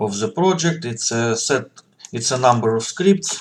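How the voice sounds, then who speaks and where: A male voice with ordinary pitch variation. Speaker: software developer. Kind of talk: tutorial. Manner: halting, with many fillers.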